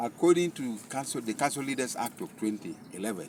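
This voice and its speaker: A man at a moderate pace, with vocal fry. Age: 60s. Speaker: candidate for cultural leader, retired doctor. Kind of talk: campaign speech.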